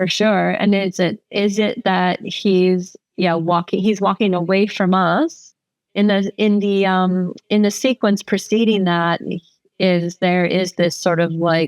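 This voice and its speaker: With an American accent, a woman speaks at a medium pitch and a very slow pace, her intonation fairly even, in a dry, close sound with no echo. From California desert, US. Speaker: photographer. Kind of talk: casual interview chat.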